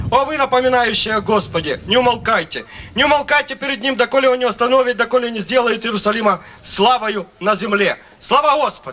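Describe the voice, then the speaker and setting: Projecting his raised voice over light background noise, a man speaks at a fairly quick pace, with an extremely high pitch and ordinary pitch variation. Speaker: preacher. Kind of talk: sermon. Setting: church. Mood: fervent, worshipful. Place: stage. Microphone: handheld.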